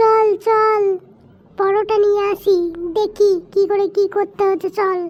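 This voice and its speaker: A woman does a cartoonish character voice at an extremely high pitch, monotone and flat, delivered at a fairly slow pace. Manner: excitable, informal.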